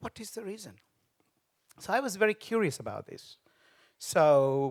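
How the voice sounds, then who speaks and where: Lively intonation from a man with a Tamil accent, in a dry, close recording with no echo. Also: very clean recording, silent background. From Sri Lanka. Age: 50s. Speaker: business founder. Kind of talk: speech. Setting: stage with audience.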